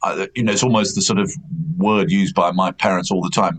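At a fairly quick pace, a man with a medium pitch makes very wide pitch swings over noticeable background noise. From England, Gloucestershire/Herefordshire countryside. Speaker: horse racing broadcaster. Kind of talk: casual interview. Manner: halting.

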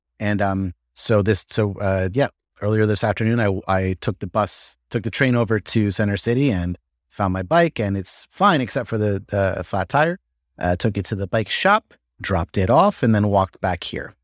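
With a normal speaking voice, a man talks at a moderate pace in a fairly low pitch with ordinary pitch variation, in a very clean recording with a silent background and a dry, close sound with no echo. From upstate New York. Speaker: stand-up comedian. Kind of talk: casual chat.

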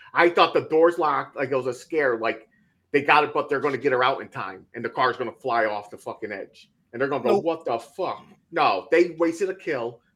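Fairly high for a man, this unremarkable speaking voice moves at a fairly quick pace with lively intonation. His loudness swings widely. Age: 30s. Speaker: podcast co-host. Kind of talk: casual chat.

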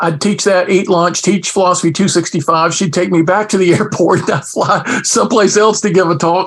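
This man's voice sits high for a man and carries an energetic tone. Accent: American. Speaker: philosopher and former professor. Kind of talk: casual interview.

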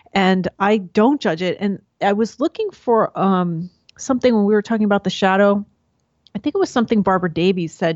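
Her American accent, medium pitch and ordinary pitch variation at a moderate pace give this woman an ordinary speaking voice. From New York. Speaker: podcast host and Jungian enthusiast. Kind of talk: interview conversation.

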